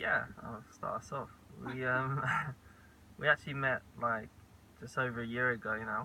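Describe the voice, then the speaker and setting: A man with an Essex accent, fairly slow and monotone, with flat intonation. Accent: southern English, Essex. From England (Colchester, Essex). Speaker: vlogger. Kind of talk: casual chat.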